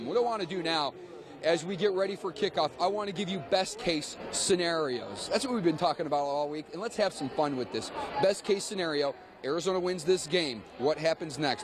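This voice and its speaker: An upbeat, energetic man's voice, high in pitch with ordinary pitch variation, over noticeable background noise. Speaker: sports news anchor. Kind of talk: TV sports news anchoring.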